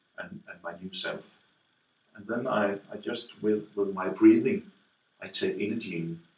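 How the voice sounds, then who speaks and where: Speaking at a fairly slow pace, a man makes long, frequent pauses and big swings in loudness. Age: 50s. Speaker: student of a self-help method, care worker. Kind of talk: interview testimony. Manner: halting, many repetitions.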